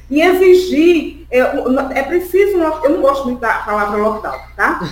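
A woman's voice moves through very wide pitch swings at a moderate pace, with noticeable background noise and audible room echo. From Brazilian Northeast (Pernambuco sertão, raised in Sergipe). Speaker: political activist. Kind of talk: political interview.

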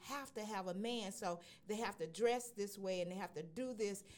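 A woman talks at a fairly slow pace with an ordinary speaking voice. Her intonation is lively. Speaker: radio host. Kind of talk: casual radio chat.

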